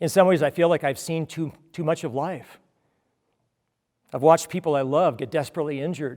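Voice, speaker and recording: This man has a fairly high pitch and fairly even intonation, speaking at a fairly quick pace. The recording is very clean with a silent background. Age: 60s. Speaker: pastor. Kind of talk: sermon.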